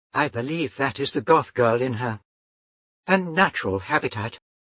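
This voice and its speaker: Medium-pitched put-on character voice from a man. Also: moderate pace. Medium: machinima. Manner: measured, literal.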